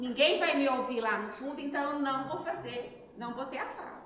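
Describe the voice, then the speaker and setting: Amid noticeable background noise and audible room echo, a woman with a high pitch speaks at a fairly slow pace. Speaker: spiritist lecturer. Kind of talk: lecture. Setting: spiritist center, live audience, no microphone. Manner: animated. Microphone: no microphone, filmed.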